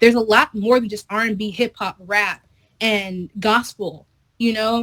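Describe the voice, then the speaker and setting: A moderate pace, in a dry, close sound with no echo. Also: woman. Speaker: interviewed performer. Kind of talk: interview. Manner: casual.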